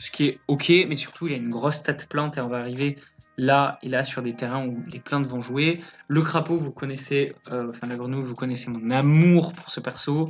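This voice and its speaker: The man has a fairly high pitch and fairly even intonation, moving at a moderate pace. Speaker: card game commentator. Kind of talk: commented gameplay replay. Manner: hesitant, many fillers.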